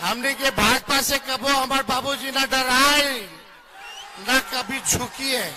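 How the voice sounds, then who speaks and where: Raised and projected over noticeable background noise, a man's voice sits at an extremely high pitch with fairly even intonation. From Bihar. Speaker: politician. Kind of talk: election rally speech.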